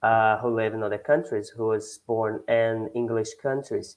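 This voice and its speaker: A speaker with a northeastern Brazilian accent shows ordinary pitch variation, on a very clean recording with a silent background. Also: man. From northeast Brazil, Bahia. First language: Portuguese. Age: 20s. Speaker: English learner, economics student. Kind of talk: language lesson conversation. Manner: halting, hesitant.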